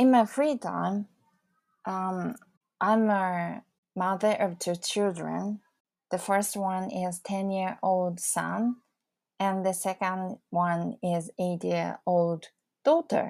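Speech comes at a very slow pace with a Japanese accent, ordinary pitch variation, and long, frequent pauses. The recording is very clean with a silent background. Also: woman, medium pitch for a woman. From Fukushima, Japan. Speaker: English learning coach and podcaster. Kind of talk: solo podcast self-introduction. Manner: slightly halting, with fillers.

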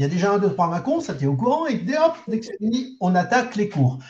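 Pitched high, a man's voice swings very widely up and down. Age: 70s. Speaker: karate club president. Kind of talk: interview.

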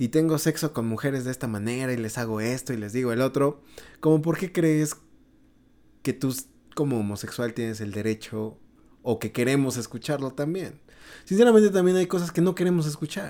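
A man with a medium pitch and a dark, mellow tone talks at a fairly quick pace with lively intonation. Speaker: podcast host. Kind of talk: casual chat.

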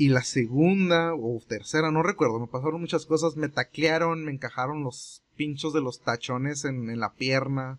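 A plain, everyday voice from a man, fairly high in pitch with ordinary variation, at a moderate pace with hardly any pauses against a quiet background. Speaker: podcast co-host. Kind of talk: casual chat.

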